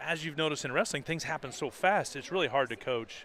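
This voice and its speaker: Loud and at a very fast pace, a man speaks with a fairly high pitch. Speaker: color commentator, former wrestling coach. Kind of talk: live sports commentary.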